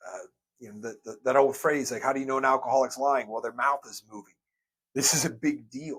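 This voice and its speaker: A man's voice at a fairly high pitch. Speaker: sobriety coach. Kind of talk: lecture. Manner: halting; fast.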